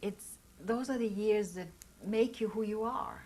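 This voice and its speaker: A woman with a German accent speaks at a medium pitch. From Austria. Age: 60s. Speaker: Holocaust survivor. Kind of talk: oral history interview. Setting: recorded interview.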